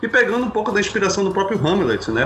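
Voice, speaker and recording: A man speaks over noticeable background noise. Audible room echo surrounds his voice. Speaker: podcaster. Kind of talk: casual chat.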